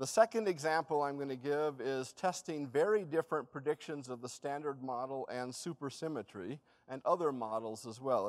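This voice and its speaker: A man at a fairly quick pace, quiet background behind him. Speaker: speaker. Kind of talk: lecture. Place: hall.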